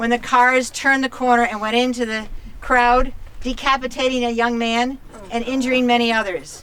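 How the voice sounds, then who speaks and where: High-pitched speech from a woman with an American accent at a moderate pace, amid noticeable background noise. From upstate New York, Finger Lakes. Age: 70s. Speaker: local resident speaking at protest. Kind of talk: protest speech.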